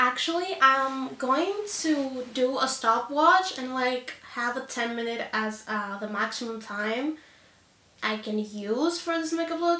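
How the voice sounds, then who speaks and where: A woman with a high pitch uses a raised, projected voice at a fairly slow pace. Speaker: beauty youtuber. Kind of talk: makeup tutorial. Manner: animated.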